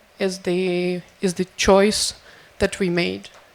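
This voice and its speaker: Noticeable background noise sits behind a woman speaking at medium pitch in a monotone, flat intonation. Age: 20s. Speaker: soldier. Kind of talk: panel discussion.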